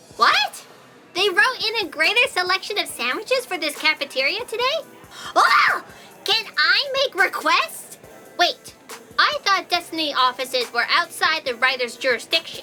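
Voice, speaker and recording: Over clear music in the background, a put-on character voice at an extremely high pitch moves at a moderate pace with very wide pitch swings. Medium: audio drama.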